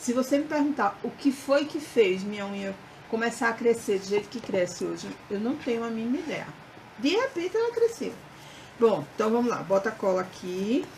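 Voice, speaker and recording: Over noticeable background noise, a woman speaks with lively intonation at a fairly high pitch. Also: moderate pace. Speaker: craft instructor. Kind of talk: live craft tutorial. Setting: Facebook live stream.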